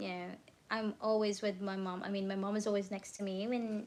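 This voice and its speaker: A woman with a Filipino accent talks in a relaxed tone. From Philippines. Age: 30s. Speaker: crochet content creator. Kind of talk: casual live stream chat. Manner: sleepy, relaxed.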